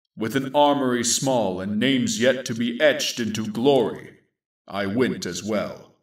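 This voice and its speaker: A man does a put-on character voice. His pitch is medium and his pace moderate. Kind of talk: grim sci-fi war narration. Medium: audio drama. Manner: measured, solemn.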